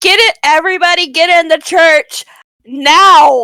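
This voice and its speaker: A woman does a put-on character voice, pitched extremely high and delivered fairly slowly. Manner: commanding, hollering over a crowd.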